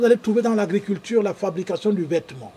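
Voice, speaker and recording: Noticeable background noise accompanies a man speaking at a moderate pace with a high pitch and ordinary pitch variation. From Cameroon, Douala. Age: 60s. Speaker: farmer and show host. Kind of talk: live stream talk reading viewer comments.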